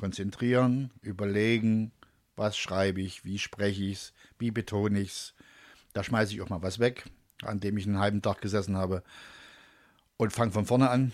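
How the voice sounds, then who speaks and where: In a very clean recording with a silent background, a man with a Saxon accent speaks at a moderate pace and fairly low pitch, his intonation monotone and flat, with long, frequent pauses. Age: 50s. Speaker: radio presenter and comedian. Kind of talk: casual chat. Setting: studio.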